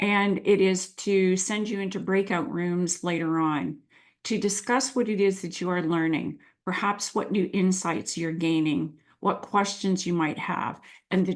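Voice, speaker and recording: A woman's fairly low-pitched voice at a fairly slow pace, with ordinary pitch variation and a quiet background. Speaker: coaching mentor. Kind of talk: webinar presentation.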